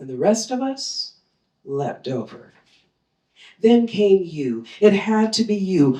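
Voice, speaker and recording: A woman speaks at a medium pitch and a very slow pace, her voice swinging very widely in pitch. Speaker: poet. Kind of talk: poetry reading. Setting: live reading.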